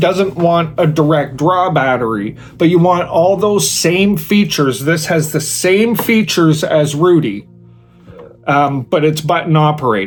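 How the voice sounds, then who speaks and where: With an American accent, a man speaks at a fairly high pitch in an enthusiastic tone. Noticeable background noise and audible room echo surround him. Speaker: product reviewer, video creator. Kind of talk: product review tutorial. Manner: casual, enthusiastic.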